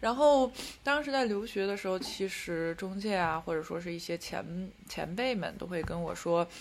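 A plain, everyday voice at a moderate pace with ordinary pitch variation. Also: woman. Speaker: podcast co-host living in Paris. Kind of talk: casual chat.

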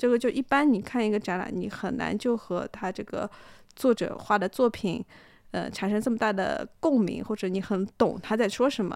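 An unremarkable speaking voice from a woman, fairly high in pitch, at a moderate pace with ordinary pitch variation. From Shanghai. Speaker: photographer and artist. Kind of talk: casual chat.

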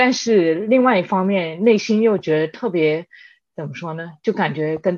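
A woman with a normal speaking voice, fairly low in pitch, with ordinary pitch variation, big swings in loudness, a moderate pace and a quiet background. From Spain (Madrid), second-generation Chinese. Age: 30s. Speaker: e-commerce worker, immigrant guest. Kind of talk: casual interview chat.

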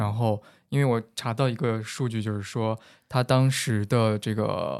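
This man talks at a very slow pace in a medium pitch, with fairly even intonation. The recording is very clean, with a silent background. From Henan, central China. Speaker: podcast co-host. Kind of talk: casual chat.

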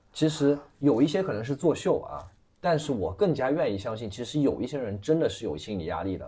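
A man's fairly high-pitched voice, with a dark, mellow tone and vocal fry, moves at a fairly quick pace through very wide pitch swings. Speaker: livestream commerce operator. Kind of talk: casual chat.

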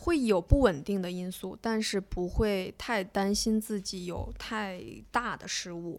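A woman at a medium pitch and a very slow pace, with ordinary pitch variation, big swings in loudness, and music in the background. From Beijing, China. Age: 20s. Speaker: former national team diver. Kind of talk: casual chat.

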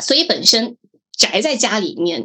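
Moderate pace and lively intonation in a plain, everyday voice. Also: woman. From Guangdong, Hakka, Meizhou. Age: 30s. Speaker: blogger. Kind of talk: podcast interview.

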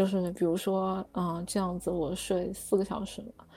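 With music in the background, a woman speaks at medium pitch and a moderate pace. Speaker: student abroad. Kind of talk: casual chat.

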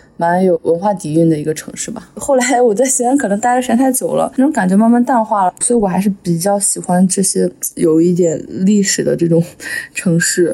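A woman talks fairly quickly, her intonation lively, against noticeable background noise. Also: medium pitch for a woman. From Henan, small county near Shanxi/Shaanxi border. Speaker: podcast host. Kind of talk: casual chat.

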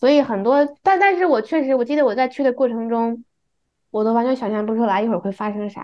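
A woman's fairly high voice with lively intonation at a very fast pace. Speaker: podcast co-host. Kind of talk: casual chat.

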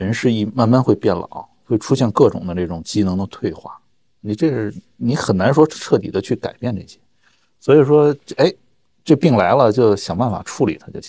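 A man's dark, mellow tone at medium pitch, with lively intonation and big swings in loudness. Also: moderate pace, dry, close sound with no echo. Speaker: surgeon. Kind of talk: casual chat. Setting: studio.

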